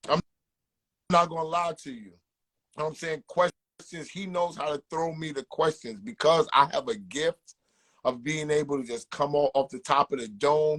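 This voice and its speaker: A man with a New York accent talks at a moderate pace and fairly high pitch, with ordinary pitch variation. His loudness swings a lot, and the sound is dry and close with no echo. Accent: New York City. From South Jamaica Queens, New York. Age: 40s. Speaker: music manager and podcaster. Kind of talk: interview. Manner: repetitive filler, some stammering.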